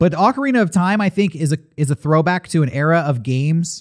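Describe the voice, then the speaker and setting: In a very clean recording with a silent background, a man with a fairly high pitch talks at a moderate pace in an unremarkable speaking voice. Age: 30s. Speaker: comedy podcast host. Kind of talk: casual chat.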